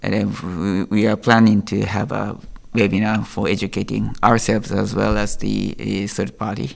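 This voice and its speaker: A fairly low-pitched man with a Japanese accent and vocal fry, speaking at a moderate pace. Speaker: IP lawyer. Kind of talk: interview. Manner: halting.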